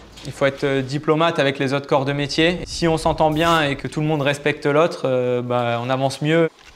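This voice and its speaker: A man's fairly high, monotone voice with flat intonation, fairly quick and with hardly any pauses. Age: 20s. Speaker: heating and air-conditioning technician. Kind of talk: interview testimony. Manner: hesitant with fillers.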